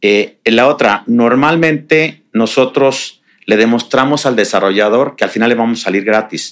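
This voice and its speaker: A man with a Mexican accent speaks at a medium pitch and a moderate pace. His pitch varies in an ordinary way, and his loudness stays very even. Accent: Mexican Spanish (Jalisco). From Mexico, Jalisco (Tapalpa). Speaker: real estate developer. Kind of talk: interview.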